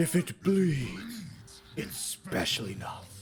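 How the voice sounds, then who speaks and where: A put-on character voice moves at a very slow pace with very wide pitch swings. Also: man, high pitch for a man. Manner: menacing.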